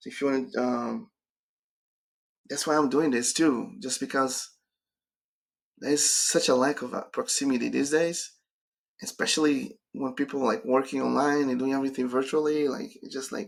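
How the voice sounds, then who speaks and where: In a very clean recording with a silent background, a man with a Brazilian accent speaks at a moderate pace and a fairly high pitch. His pitch varies in an ordinary way, and he leaves long, frequent pauses. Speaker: career coach. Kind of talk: live stream Q&A.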